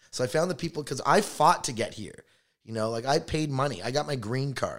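An ordinary speaking voice, a man with a Canadian accent talks at a fairly quick pace and medium pitch with lively intonation on a very clean recording with a silent background. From Canada, Toronto. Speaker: stand-up comedian. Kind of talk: casual chat.

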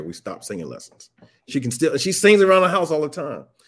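On a very clean recording with a silent background, a man speaks with a Southern US accent. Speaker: social worker and nonprofit founder. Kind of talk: casual interview. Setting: live stream.

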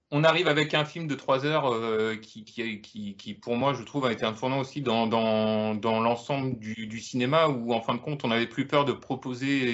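A man with an unremarkable speaking voice and medium pitch talks at a moderate pace with fairly even intonation and hardly any pauses. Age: 30s. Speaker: film enthusiast panelist. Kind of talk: casual chat.

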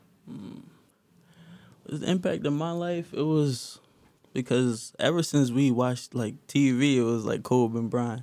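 A man speaks at a fairly slow pace with long, frequent pauses, his pitch medium and its variation ordinary. His tone is dark and mellow, and the recording is very clean with a silent background. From Philadelphia. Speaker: rapper. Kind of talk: casual chat.

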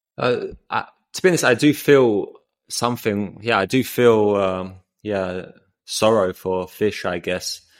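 A man with an English accent and a fairly low pitch speaks at a fairly slow pace with ordinary pitch variation. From England. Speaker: podcast host and vegan activist. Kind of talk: casual chat. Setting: remote call.

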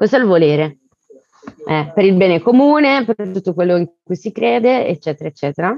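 The sound is dry and close with no echo as a woman speaks at a moderate pace with lively intonation. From Italy, Bergamo and Elba (Tuscany). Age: 30s. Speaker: guest, works in crowdfunding platform. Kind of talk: casual chat.

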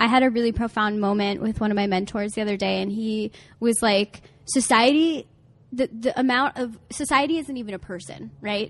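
A woman's unremarkable speaking voice, fairly high in pitch, at a fairly quick pace with ordinary pitch variation and a quiet background. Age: 20s. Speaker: relationship coach. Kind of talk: casual chat. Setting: outdoors.

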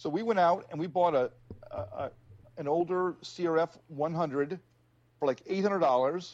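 A man speaks at a moderate pace in a high pitch, with ordinary pitch variation. He leaves long pauses, and often. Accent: American. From New Jersey. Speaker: motorcycle enthusiast, military veteran. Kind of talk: casual chat.

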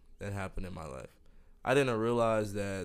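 A man speaks with an American accent. His pitch is fairly low. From Miami, Florida. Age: 20s. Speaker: podcast host. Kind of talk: casual chat.

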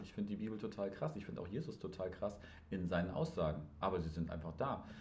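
A somewhat breathy man speaks at a very fast pace with audible room echo. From northern Germany. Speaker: podcast host. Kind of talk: casual chat.

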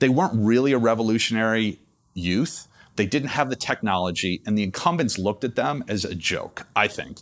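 In an unremarkable speaking voice, a man of medium pitch talks at a fairly quick pace with lively intonation over a very clean recording and a silent background. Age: 50s. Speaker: hedge fund manager. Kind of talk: interview.

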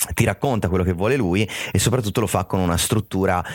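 A man with a very deep, low pitch, dry and close with no echo. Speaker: film fan and critic guest. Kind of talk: casual chat.

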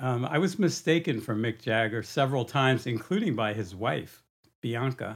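A man's medium-pitched, ordinary speaking voice at a moderate pace with lively intonation. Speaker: guest (host's father). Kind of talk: casual chat.

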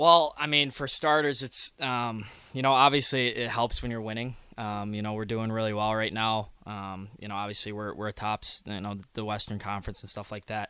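Here is a man with an unremarkable speaking voice at medium pitch. He keeps a moderate pace with ordinary pitch variation. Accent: American. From Michigan. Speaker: junior hockey player. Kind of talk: casual interview.

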